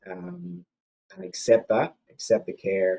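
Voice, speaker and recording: With an Irish accent, a man speaks at a fairly slow pace in a fairly low pitch with a dark, mellow tone. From Ireland. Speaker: cancer survivor, interview guest. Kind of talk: podcast interview. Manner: hesitant, many fillers.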